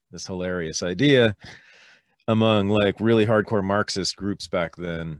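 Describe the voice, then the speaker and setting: A man's very deep, low voice with ordinary pitch variation, recorded very cleanly against a silent background. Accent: Californian. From US West Coast, Berkeley, California. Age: 50s. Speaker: historian and podcast host. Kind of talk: casual interview chat.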